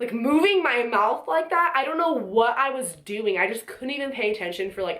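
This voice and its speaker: Amid audible room echo and noticeable background noise, a woman's voice makes very wide pitch swings. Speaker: vlogger. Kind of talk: casual talk to camera. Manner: fast.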